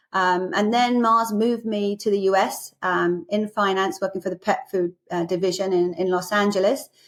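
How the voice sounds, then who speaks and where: With an English accent, a woman talks at a moderate pace using fairly even intonation. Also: medium pitch for a woman, hardly any pauses. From England. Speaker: business executive. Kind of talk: podcast interview.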